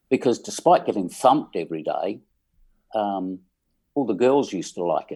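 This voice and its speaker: A man with an English accent speaks at a moderate pace, with long, frequent pauses. The recording is very clean and the background silent. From England. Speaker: musician. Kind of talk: casual chat.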